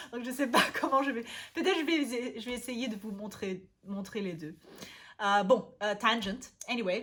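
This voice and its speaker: Making big swings in loudness and long, frequent pauses, a woman with a fairly high pitch talks at a fairly slow pace. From Vienna, Austria. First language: German (speaking French). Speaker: language learning youtuber. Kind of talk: casual vlog talk. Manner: halting, many hesitations.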